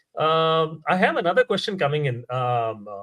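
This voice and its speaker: A man speaking at a moderate pace. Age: 60s. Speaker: host. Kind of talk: live interactive Q&A. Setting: live stream. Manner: halting, many fillers.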